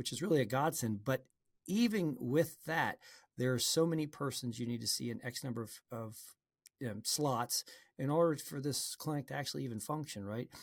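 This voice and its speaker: A man sounds somewhat breathy, using lively intonation at a fairly quick pace, in a dry, close recording with no echo that is very clean, with a silent background. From New Orleans, Louisiana. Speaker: ear, nose and throat doctor; presidential candidate. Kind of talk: interview.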